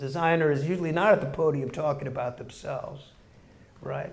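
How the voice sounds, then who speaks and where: The speaker is a man with fairly even intonation. Room echo is audible. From Chicago, Hyde Park. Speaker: graphic designer and educator. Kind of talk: guest lecture.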